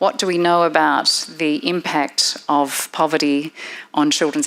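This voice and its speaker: In an Australian accent, a woman with a very deep, low pitch speaks with fairly even intonation against noticeable background noise. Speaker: professor and researcher. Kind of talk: seminar presentation.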